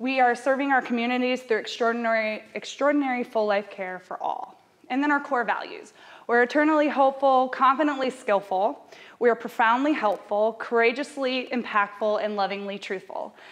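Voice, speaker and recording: The voice is loud and fairly quick, with ordinary pitch variation. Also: woman. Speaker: hospice community educator. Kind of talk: lecture. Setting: stage with audience. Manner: loud, projecting; fast.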